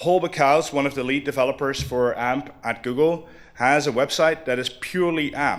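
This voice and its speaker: A man with an ordinary speaking voice talks at a moderate pace in a medium pitch. His intonation is fairly even. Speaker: conference speaker. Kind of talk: conference talk.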